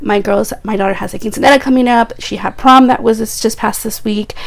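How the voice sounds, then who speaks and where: Fairly quick, fairly high-pitched speech from a woman with fairly even intonation, amid noticeable background noise. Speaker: beauty vlogger. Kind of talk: makeup tutorial. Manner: casual chatty.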